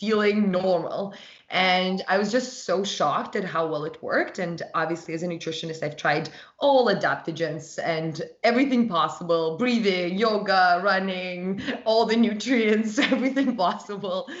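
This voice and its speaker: Ordinary pitch variation from a woman, with audible room echo around her. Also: medium pitch for a woman, moderate pace. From Russia. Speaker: holistic nutritionist and wellness brand founder. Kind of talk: podcast interview.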